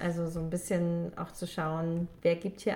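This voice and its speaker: This woman's voice sits fairly low in pitch. It is somewhat breathy, with a dark, mellow tone. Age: 20s. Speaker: podcast host, book enthusiast. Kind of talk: casual chat.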